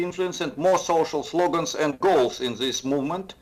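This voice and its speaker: With a Russian accent, a man speaks using ordinary pitch variation. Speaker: professor of political economics. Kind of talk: interview. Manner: hesitant, many fillers.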